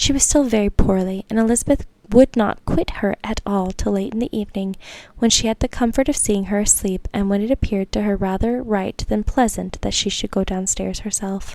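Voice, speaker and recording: Whispering at a fairly quick pace, a soft-spoken woman talks. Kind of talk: audiobook-style classic novel reading. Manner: soft-spoken, whispering.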